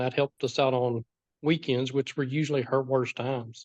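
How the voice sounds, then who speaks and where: A man speaks at a moderate pace in a medium pitch with monotone, flat intonation. The sound is dry and close, with no echo. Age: 60s. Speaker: foster parent. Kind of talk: interview.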